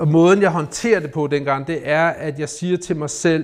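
At a fairly slow pace, a man talks with fairly high pitch and ordinary pitch variation. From Denmark, North Zealand (Rungsted). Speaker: recovering alcoholic, investor. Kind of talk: personal testimony in interview. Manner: halting, many repeated words.

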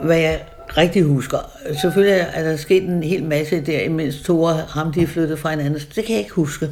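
Noticeable background noise runs through the clip. The talking proceeds at a moderate pace. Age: 80s+. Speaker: interviewee, eyewitness. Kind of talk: casual conversation. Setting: her home by the sea. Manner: halting.

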